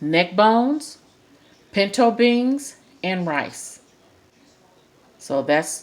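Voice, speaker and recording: Loud and very slow, a woman speaks with very wide pitch swings. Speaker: home cooking vlogger. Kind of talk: casual cooking tutorial. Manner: animated.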